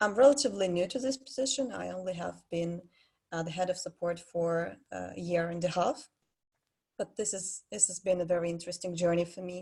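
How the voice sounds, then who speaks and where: Speaking at a fairly quick pace in a Russian accent, a woman has a fairly low, somewhat breathy voice with a dark, mellow tone. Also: ordinary pitch variation, big swings in loudness. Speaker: head of player support. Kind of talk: panel discussion. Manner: halting.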